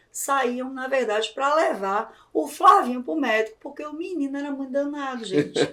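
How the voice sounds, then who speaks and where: High pitch and lively intonation in a woman's speech. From Brazilian Northeast. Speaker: podcast host and journalist. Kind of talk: interview podcast. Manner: animated.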